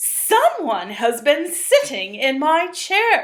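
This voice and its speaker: Using a put-on character voice, a woman speaks very slowly at an extremely high pitch with very wide pitch swings. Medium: read story.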